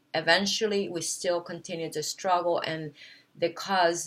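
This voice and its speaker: The pace here is moderate. A woman is talking with a non-native accent. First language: not English. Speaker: wellness vlogger. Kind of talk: casual monologue to camera. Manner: hesitant, many fillers.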